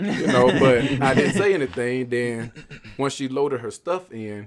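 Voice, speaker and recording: A man's medium-pitched voice with a Southern US accent. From US South. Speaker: podcast guest. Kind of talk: casual chat.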